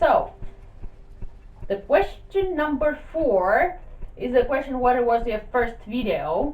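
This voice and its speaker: Someone with a Russian accent speaks at a very slow pace with long, frequent pauses and very wide pitch swings, amid noticeable background noise and audible room echo. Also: woman, high pitch for a woman. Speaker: YouTuber. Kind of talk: casual vlog talk.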